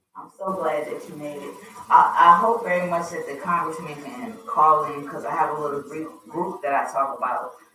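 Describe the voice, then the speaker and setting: With an American accent and a very deep, low voice, a woman speaks at a moderate pace with ordinary pitch variation and big swings in loudness, amid audible room echo. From US East Coast (Wilmington, Delaware). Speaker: radio host. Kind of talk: casual chat.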